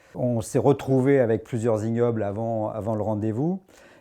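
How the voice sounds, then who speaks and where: Recorded very cleanly against a silent background, a man speaks at a medium pitch. His pace is moderate and his pitch varies in an ordinary way. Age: 60s. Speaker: amateur rugby player, former club president. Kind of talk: interview. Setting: locker room. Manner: hesitant, with fillers.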